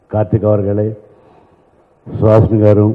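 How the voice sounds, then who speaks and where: A man with a Telugu accent speaks at a fairly low pitch. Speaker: film song lyricist. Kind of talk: event speech.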